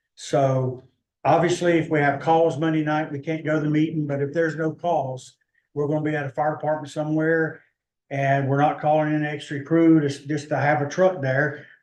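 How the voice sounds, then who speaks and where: A man with an American accent talks at a fairly quick pace in a monotone, flat intonation. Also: fairly high pitch for a man. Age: 60s. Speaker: EMS service manager presenting to county commission. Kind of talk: public meeting presentation. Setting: county commission meeting.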